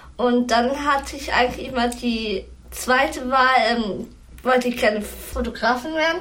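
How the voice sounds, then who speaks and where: High-pitched woman's voice with ordinary pitch variation and audible room echo. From Lower Saxony, Hameln. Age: 20s. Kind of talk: interview.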